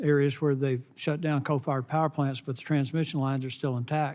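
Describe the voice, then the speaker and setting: With a Southern US accent, a man speaks at a moderate pace in a fairly high pitch and a monotone, flat intonation, on a very clean recording with a silent background. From US South. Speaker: congressman. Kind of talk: congressional hearing questioning. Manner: halting.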